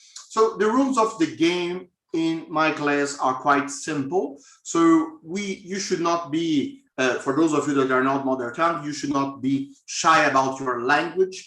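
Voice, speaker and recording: With a strong Brazilian accent, a man speaks at a fairly slow pace and a fairly high pitch. His tone is bright and sharp, with ordinary pitch variation. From southern Brazil, Florianópolis. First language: Portuguese. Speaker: professor. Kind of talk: lecture. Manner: hesitant with fillers.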